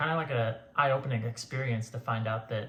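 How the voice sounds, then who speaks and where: In an American accent, a man speaks at medium pitch with monotone, flat intonation and a somewhat breathy voice. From Florida. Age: 30s. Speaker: physical therapy program applicant. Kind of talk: interview answers to camera.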